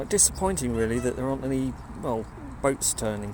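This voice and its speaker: Audible room echo around a medium-pitched male voice with ordinary pitch variation. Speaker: composer and vlogger. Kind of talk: casual vlog walk-through. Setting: outdoors by a river. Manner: halting, many fillers.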